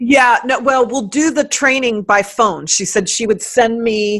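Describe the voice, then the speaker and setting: The speech has ordinary pitch variation and a moderate pace, captured in a very clean recording with a silent background. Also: woman. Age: 50s. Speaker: writer, life coach and speaker. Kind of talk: casual interview chat.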